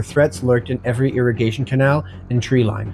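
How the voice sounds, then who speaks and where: With music in the background, a man speaks at a very fast pace and a medium pitch with ordinary pitch variation. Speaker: former army reservist. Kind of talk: documentary narration.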